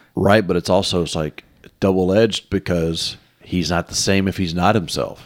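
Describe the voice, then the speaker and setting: Speaking with a Southern US accent, a man with a very deep, low pitch talks at a moderate pace in a monotone, flat intonation. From US South, Mississippi. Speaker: podcast co-host. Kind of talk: casual chat.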